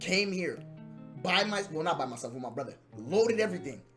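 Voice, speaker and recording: A moderate pace of speech over clear music in the background. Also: man. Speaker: streamer. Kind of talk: casual stream chat. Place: home room.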